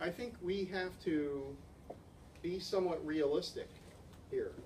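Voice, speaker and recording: A man's high-pitched voice at a fairly slow pace, with long, frequent pauses and audible room echo. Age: 60s. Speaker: ecosystem researcher. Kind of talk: conference Q&A discussion. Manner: halting, frequent repetitions.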